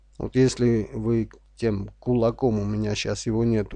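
Against a quiet background, a man's voice carries a dark, mellow tone. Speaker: online business vlogger. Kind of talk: screen-share tutorial. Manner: slow; unscripted, halting.

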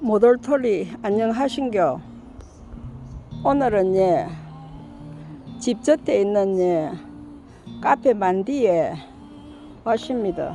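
Music plays in the background as a woman speaks with a fairly high pitch and lively intonation. She leaves long, frequent pauses. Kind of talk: casual vlog narration.

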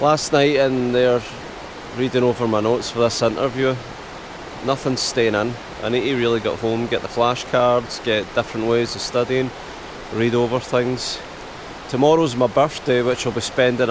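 Long, frequent pauses break up a man's monotone, flat delivery at a moderate pace. Noticeable background noise is present, and the sound is dry with no echo. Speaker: camper vlogger. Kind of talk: casual vlog chat. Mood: slightly anxious, reflective.

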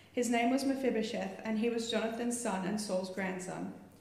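A woman talks at a moderate pace and a fairly high pitch. Audible room echo surrounds her voice. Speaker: church member reading scripture. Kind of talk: reading aloud. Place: church. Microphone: handheld.

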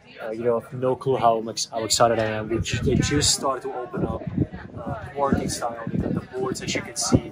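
Loud background noise fills the clip. Over it, a man speaks at a fairly quick pace. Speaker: food vlogger. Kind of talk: casual vlog chat. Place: cafe.

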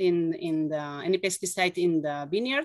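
Over a quiet background, a woman talks with lively intonation. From Catalonia, Spain. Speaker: winemaker. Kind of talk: interview. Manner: halting. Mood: friendly, smiling. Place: home room. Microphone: video call.

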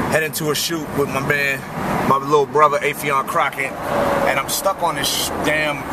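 Loud background noise sits behind a man talking at a moderate pace. The sound is dry with no echo. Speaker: vlogger. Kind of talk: casual vlog chat. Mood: annoyed by traffic. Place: car. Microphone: phone near.

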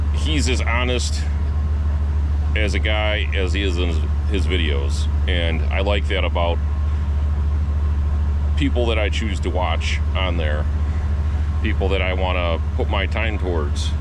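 A man's fairly slow speech with long, frequent pauses and noticeable background noise. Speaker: van enthusiast vlogger. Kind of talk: casual vlog chat. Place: street. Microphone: phone near.

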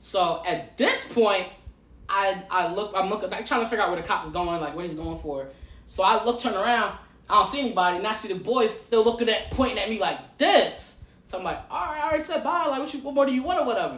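A man speaks at a very fast pace in a high voice with very wide pitch swings. Audible room echo surrounds him. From Detroit. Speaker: podcast guest. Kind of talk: casual chat. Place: home room. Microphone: camera far.

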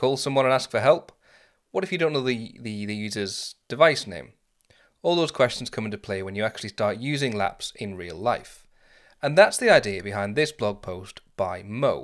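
Over a quiet background, a man speaks at a moderate pace with lively intonation. His loudness swings widely. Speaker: tech content creator. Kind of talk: tutorial. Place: home room. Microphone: studio mic.

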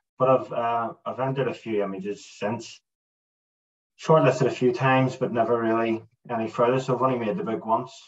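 A man talks at a fairly quick pace with a Northern Irish accent. The background is quiet. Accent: Northern Irish (Belfast). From Northern Ireland, Belfast. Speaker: landscape photographer; guest. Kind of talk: casual interview chat. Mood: relaxed, enthusiastic. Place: home room. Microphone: video call.

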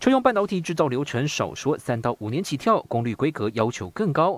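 Very wide pitch swings at a fairly quick pace. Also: man. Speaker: TV news reporter. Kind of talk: news report.

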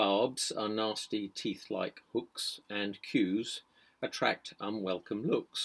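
Intonation stays fairly even in this unforced reading voice.

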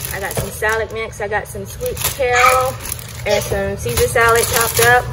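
At a moderate pace, a woman speaks with noticeable background noise. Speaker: vlogger. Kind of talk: casual vlog chat. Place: kitchen. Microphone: phone near.

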